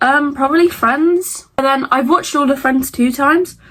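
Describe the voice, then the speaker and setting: A woman speaks with a British accent. She moves at a fairly quick pace with ordinary pitch variation. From Britain. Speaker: content creator. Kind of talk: casual Q&A vlog. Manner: stutters over words; animated.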